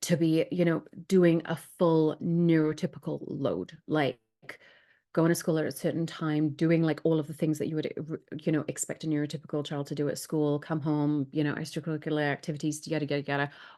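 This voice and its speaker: A woman with a Welsh accent speaks fairly quickly in a very deep, low pitch with a dark, mellow tone and monotone, flat intonation. The background is quiet. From Wales. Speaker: sleep specialist. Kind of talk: live Q&A.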